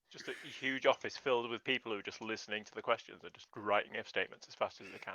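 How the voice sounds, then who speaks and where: Talking very fast in a medium-pitched voice, the man sounds bright and sharp, with monotone, flat intonation and big swings in loudness. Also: dry, close sound with no echo. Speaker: podcast guest. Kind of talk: casual chat.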